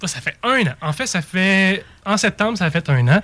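A man with a Quebec accent at a moderate pace. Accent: Québécois French. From Mauricie, Quebec. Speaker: tourism marketing advisor. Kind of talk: casual chat.

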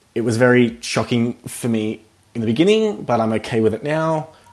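Medium-pitched male voice with an Australian accent, a moderate pace and ordinary pitch variation. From rural New South Wales, Australia. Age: 20s. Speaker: podcast guest sharing mental health story. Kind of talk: casual interview.

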